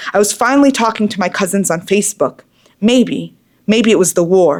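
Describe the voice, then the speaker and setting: Fairly quick and with lively intonation, a woman talks in a normal speaking voice with an American accent. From Boston, US. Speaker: poet. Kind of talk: spoken word poetry performance.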